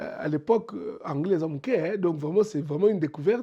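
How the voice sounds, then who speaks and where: This man has a high pitch, a dark, mellow tone and lively intonation. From DR Congo, Mbuji-Mayi. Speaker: entrepreneur. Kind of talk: interview. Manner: halting, many repetitions.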